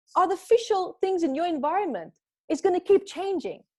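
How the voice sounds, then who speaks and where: A woman with a non-native accent at a fairly quick pace. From Namibia. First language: not English. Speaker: spiritual teacher and author. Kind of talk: podcast interview.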